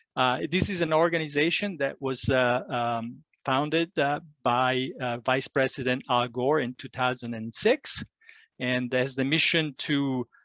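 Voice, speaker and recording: A bright, sharp voice speaks with an Italian accent and ordinary pitch variation. The sound is dry and close with no echo, over a quiet background. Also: man, medium pitch for a man. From Italy. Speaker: climate educator. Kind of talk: presentation. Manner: halting, many fillers.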